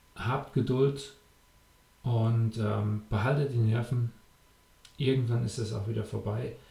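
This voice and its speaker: Somewhat breathy and dark, mellow in tone, the voice moves at a very slow pace with fairly even intonation and long, frequent pauses. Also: man, medium pitch for a man. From Germany. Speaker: triathlon coach and podcast host. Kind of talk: podcast monologue with advice. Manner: casual, frequent filler sounds.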